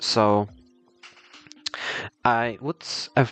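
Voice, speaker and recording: The sound is dry and close, with no echo. A man with a non-native accent speaks at a medium pitch. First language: not English. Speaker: art tutorial creator. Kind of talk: tutorial. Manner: casual, hesitant with fillers.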